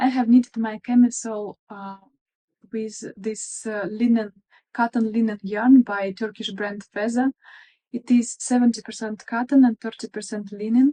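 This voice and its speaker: Speaking with a Russian accent at a moderate pace, a woman has a fairly high pitch and a monotone, flat intonation. Her tone is dark, mellow and somewhat breathy, in a dry, close sound with no echo. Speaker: craft vlogger. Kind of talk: casual show-and-tell vlog. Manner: hesitant, with fillers.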